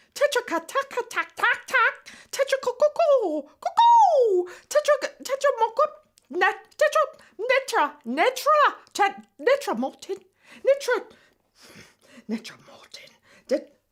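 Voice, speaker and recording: In a put-on character voice that sounds female, the speaker goes extremely high in pitch, moving at a fairly slow pace with long, frequent pauses. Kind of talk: comedy web series dialogue.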